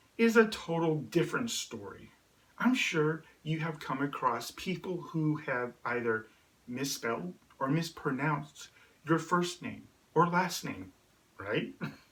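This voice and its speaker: A man's fairly high voice with very wide pitch swings, a very slow pace and long, frequent pauses, over noticeable background noise. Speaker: video host and stuttering awareness speaker. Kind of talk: scripted talk to camera. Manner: halting on certain sounds.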